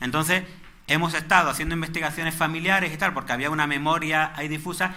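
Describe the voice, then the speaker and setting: The speaker has a Málaga accent. Room echo is audible. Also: man. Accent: Málaga (Andalusian). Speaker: lecturer on local history. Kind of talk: lecture. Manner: halting, with frequent repetitions.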